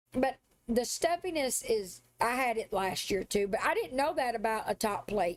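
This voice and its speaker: A woman with a Southern US accent, fairly high pitch, lively intonation, a moderate pace and very even loudness. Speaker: live streamer. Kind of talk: casual chat.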